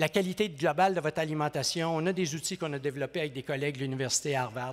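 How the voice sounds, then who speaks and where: Very fast speech comes from a man with a fairly high pitch. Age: 60s. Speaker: professor. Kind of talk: conference speech. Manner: animated.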